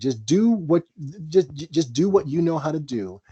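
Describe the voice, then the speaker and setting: A man with a dark, mellow tone and a fairly high pitch speaks at a fairly slow pace with very wide pitch swings, in a dry, close sound with no echo. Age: 50s. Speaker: jazz drummer and bandleader. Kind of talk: mentoring talk in a roundtable discussion. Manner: halting, many repeated words and restarts.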